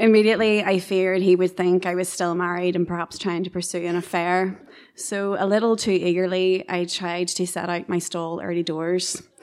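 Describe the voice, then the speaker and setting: Woman at a medium pitch, flat and monotone, on a very clean recording with a silent background. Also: moderate pace, hardly any pauses. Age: 30s. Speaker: storyteller. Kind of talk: live storytelling. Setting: stage with audience.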